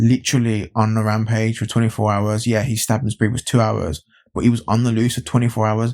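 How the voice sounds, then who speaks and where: In an English Midlands accent, a man speaks at medium pitch, recorded dry and close with no echo, very clean against a silent background. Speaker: YouTube commentator. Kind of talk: opinion vlog. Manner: animated, repetitive.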